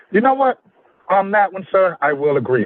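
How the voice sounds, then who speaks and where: A man speaks with lively intonation. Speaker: livestream co-host. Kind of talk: debate-style livestream discussion. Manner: animated.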